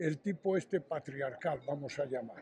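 A man's dark, mellow voice moves at a fairly slow pace with ordinary pitch variation. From Spain, Astorga (León). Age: 70s. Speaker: tapestry artisan. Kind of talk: interview.

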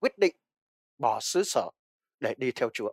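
The recording is dry and close, with no echo. A man speaks in a high pitch. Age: old. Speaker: pastor. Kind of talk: sermon.

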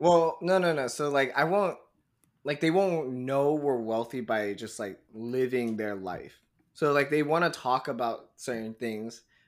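Speaking at a moderate pace, a man has an unremarkable speaking voice at medium pitch. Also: very clean recording, silent background. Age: 20s. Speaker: podcast co-host. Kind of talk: casual chat.

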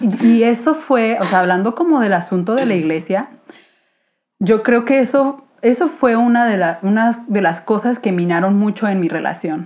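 This woman has an unremarkable speaking voice, fairly high in pitch, with lively intonation and a moderate pace. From Guadalajara, Mexico. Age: 20s. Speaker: illustrator and podcaster. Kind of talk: casual chat.

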